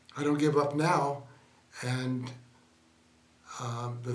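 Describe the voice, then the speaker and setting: Medium-pitched male voice, flat and monotone, at a fairly slow pace, with audible room echo and noticeable background noise. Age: 70s. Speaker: stroke survivor. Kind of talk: interview. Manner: halting.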